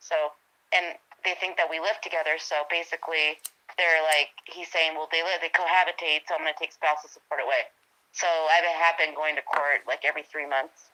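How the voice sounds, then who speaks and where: A woman speaks with a very deep, low pitch. Her intonation stays monotone and flat. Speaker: eyewitness sharing her story. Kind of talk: casual chat. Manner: fast.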